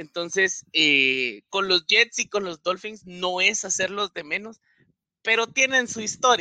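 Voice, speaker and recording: A man's raised, projected voice, high in pitch with a bright, sharp tone, lively intonation, very slow pace, dry and close with no echo. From Guatemala. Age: 20s. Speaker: NFL fan panelist. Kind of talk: casual panel discussion.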